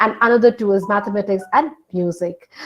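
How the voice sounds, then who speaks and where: A woman is speaking. She has a Bengali accent. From north India (Hindi-speaking region). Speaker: film studies lecturer. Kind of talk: lecture. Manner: halting.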